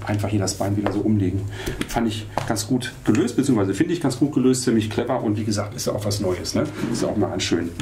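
A fairly low male voice at a very fast pace, ordinary pitch variation, and noticeable background noise. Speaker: camera shop product reviewer. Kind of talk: product demo tutorial. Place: studio.

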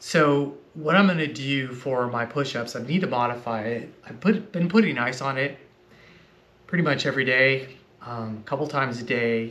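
The man talks at a moderate rate, his pitch varying in an ordinary way. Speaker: fitness vlogger. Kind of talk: casual vlog chat. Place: home room. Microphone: camera far.

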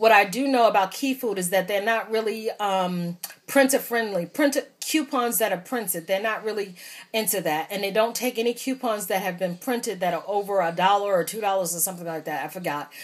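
Fairly quick pace and ordinary pitch variation from a woman. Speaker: couponer. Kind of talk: casual talk to camera. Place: home room. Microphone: phone near.

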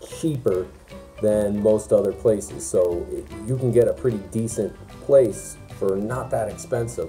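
A fairly slow pace with faint music in the background. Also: man. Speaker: soldier vlogger. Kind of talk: casual vlog chat. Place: home room. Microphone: phone near.

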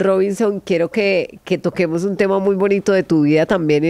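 Over a quiet background, a woman with a fairly low voice speaks at a moderate pace with fairly even intonation, the sound dry with no echo. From Colombia, Caquetá (Florencia); Caquetá, Colombia. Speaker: podcast host; podcast host interviewer. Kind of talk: interview. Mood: warm, friendly, smiling. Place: studio. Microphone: studio mic.

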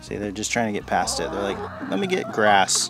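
Over clear music in the background, a man speaks at a moderate pace, and the sound is dry with no echo. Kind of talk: casual vlog chat. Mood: relaxed, amused. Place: garden.

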